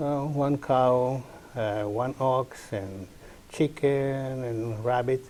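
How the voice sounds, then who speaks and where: A man talks with an Italian accent. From northern Italy, near Swiss border. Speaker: community farm leader. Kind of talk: interview.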